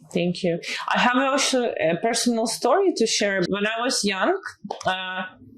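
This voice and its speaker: A woman with a fairly high pitch talks at a moderate pace with very wide pitch swings. Her loudness stays very even over noticeable background noise. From Eastern Europe. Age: 30s. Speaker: health tech executive. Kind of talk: interview. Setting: office.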